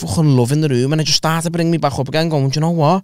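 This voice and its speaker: Fairly even intonation over a quiet background, with a dry sound and no echo. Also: man. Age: 30s. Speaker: comedian podcast host. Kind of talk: casual chat. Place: studio. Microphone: studio mic.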